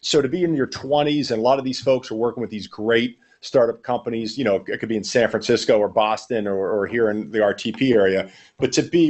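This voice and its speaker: A man talks in a Pittsburgh accent. His pace is very fast. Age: 40s. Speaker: sales trainer. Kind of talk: podcast interview.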